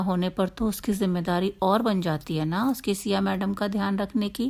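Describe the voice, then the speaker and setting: A woman's medium-pitched voice with ordinary pitch variation, a plain, everyday voice. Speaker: storyteller. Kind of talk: story narration.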